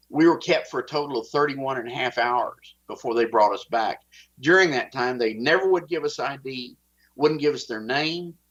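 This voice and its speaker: With a strong Texas accent, a man talks at a fairly quick pace and with ordinary pitch variation. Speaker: whistleblower. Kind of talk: interview.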